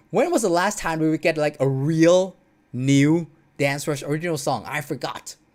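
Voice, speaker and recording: A fairly slow, non-native accent in a very clean recording with a silent background. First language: not English. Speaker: streamer commenting on dance game videos. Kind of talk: casual livestream commentary. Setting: home livestream. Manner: hesitant, many fillers.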